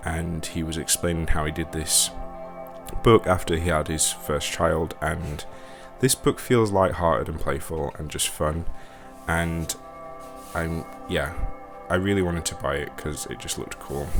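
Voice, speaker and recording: A man's very deep, low voice at a fairly slow pace, with ordinary pitch variation, long, frequent pauses, and music in the background. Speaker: book reviewer. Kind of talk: casual book review. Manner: calm, gentle; halting, many fillers.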